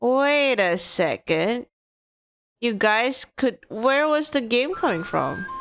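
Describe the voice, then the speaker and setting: Music plays behind a woman with a high pitch who speaks at a very slow pace, her intonation lively and her loudness very even. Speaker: video game streamer. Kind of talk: live gaming stream chat. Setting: live stream.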